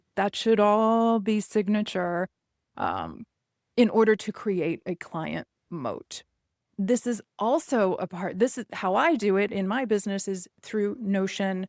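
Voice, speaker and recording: In a normal speaking voice, a woman speaks at a fairly slow pace and medium pitch with ordinary pitch variation, on a very clean recording with a silent background and a dry, close sound with no echo. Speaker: real estate business coach. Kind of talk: podcast monologue. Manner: many filler words.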